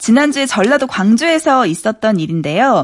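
A woman talks at a moderate pace in a fairly high voice. Her pitch swings very widely. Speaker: radio news reporter. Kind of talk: news segment on radio.

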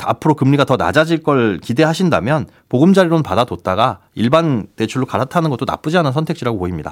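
On a very clean recording with a silent background, a man with a fairly high, vocal-fried voice races along at a very fast pace with very wide pitch swings and hardly any pauses. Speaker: financial research institute head. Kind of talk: radio economics news talk.

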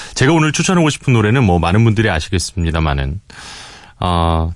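A man with a very deep, low pitch. His pitch swings very widely at a moderate pace. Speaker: radio announcer. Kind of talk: casual radio chat, recommending a song.

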